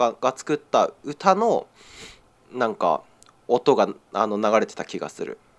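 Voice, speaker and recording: Against a very clean, silent background, a man speaks at a fairly slow pace with vocal fry. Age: 20s. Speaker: podcast co-host. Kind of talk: casual chat.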